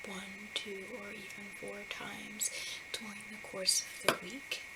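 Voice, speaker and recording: Soft-spoken and gentle in tone, the voice moves at a fairly slow pace over noticeable background noise. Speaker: ASMR roleplay counselor. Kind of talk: ASMR counseling roleplay, soft-spoken. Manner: soft-spoken, gentle.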